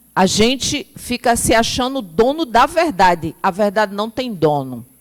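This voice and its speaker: Her pitch swings very widely as this woman speaks. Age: 50s. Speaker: spiritist lecturer. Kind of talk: lecture.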